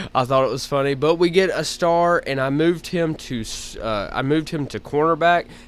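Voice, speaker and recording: The speaker talks at a moderate pace in an Alabama accent. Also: man. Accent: Southern (Alabama). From Alabama, US South. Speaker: gaming YouTuber. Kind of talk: gameplay commentary. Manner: casual, halting with fillers.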